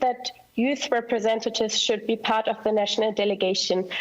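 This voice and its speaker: A woman with a fairly high pitch talks at a fairly quick pace and keeps her intonation fairly even. Noticeable background noise runs underneath. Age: 20s. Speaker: youth delegate. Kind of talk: presentation.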